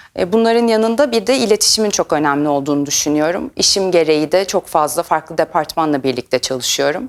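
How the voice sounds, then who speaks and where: A woman's fairly low-pitched voice with very wide pitch swings, very even loudness and hardly any pauses. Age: 30s. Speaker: chemist, R&D team lead. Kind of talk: career talk to camera. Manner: hesitant fillers.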